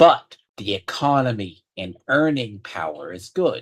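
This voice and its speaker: At a very slow pace, a man speaks somewhat breathily with ordinary pitch variation. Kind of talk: casual conversation.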